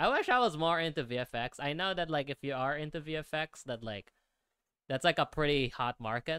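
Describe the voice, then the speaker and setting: Against a quiet background, the voice has a bright, sharp tone, ordinary pitch variation, a moderate pace, and a dry sound with no echo. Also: man, fairly high pitch for a man. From Philippines. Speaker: 3D artist streamer. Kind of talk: live stream tutorial. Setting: live stream with chat. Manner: casual, filler-heavy. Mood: relaxed, mildly frustrated. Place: home room. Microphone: studio mic.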